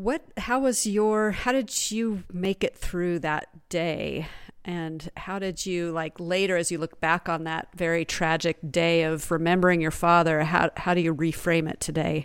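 In an ordinary speaking voice, a woman talks at a fairly slow pace with a fairly low pitch and ordinary pitch variation. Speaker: podcast host. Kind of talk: interview, conversational.

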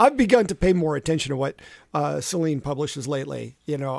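A man speaks in an unremarkable speaking voice at a moderate pace, his pitch fairly high with ordinary variation. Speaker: cycling podcast co-host. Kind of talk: casual chat.

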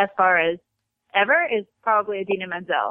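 A woman with a normal speaking voice, medium pitch and moderate pace. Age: 20s. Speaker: country singer and ER nurse. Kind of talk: casual interview. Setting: phone call. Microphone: cell phone line.

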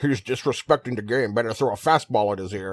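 Using a put-on character voice, a man talks at medium pitch and a very fast pace. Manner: disrespectful, aggressive.

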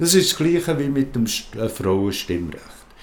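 His pitch leaping very widely, a man talks at a fairly slow speed. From rural Switzerland. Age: 70s. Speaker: queer seniors association volunteer. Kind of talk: interview. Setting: at his home. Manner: halting.

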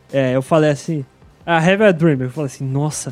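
A man's voice over background music. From São Paulo city, Brazil. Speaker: podcast industry professional. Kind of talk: casual interview chat.

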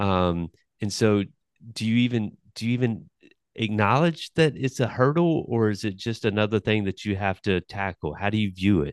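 An unremarkable speaking voice with an American accent shows ordinary pitch variation. The sound is dry and close with no echo, over a quiet background. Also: man, fairly low pitch for a man, moderate pace. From Newbern, North Carolina. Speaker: podcast host. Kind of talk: interview.

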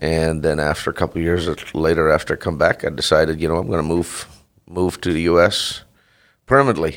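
Very deep and low in pitch, a man speaks at a fairly quick pace with fairly even intonation on a very clean recording with a silent background. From Netherlands. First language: Dutch. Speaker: dairy farmer. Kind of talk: interview. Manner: halting.

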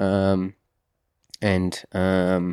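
A man speaks in a Portuguese accent with a very deep, low pitch and monotone, flat intonation. The sound is dry and close with no echo. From Brazil. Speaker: mountain bike racer. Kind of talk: interview. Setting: studio. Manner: halting, many fillers and repeats.

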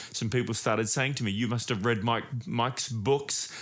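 Speaking with an Australian accent, a man uses a medium pitch. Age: 50s. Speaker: pastor. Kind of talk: sermon. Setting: home recording.

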